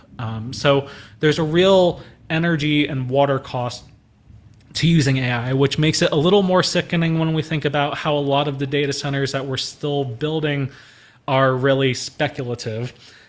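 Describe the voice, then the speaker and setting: This man has an unremarkable speaking voice, fairly high in pitch. He keeps a moderate pace and fairly even intonation. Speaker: church trainer on AI. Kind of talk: online training presentation.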